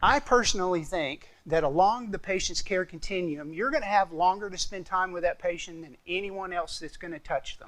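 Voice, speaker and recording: Speaking with an American accent at a moderate pace, a man uses a high pitch with ordinary pitch variation, hardly any pauses and big swings in loudness. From Arkansas, US South. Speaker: clinical specialist and respiratory therapist. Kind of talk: conference presentation. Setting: stage with audience. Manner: casual, conversational.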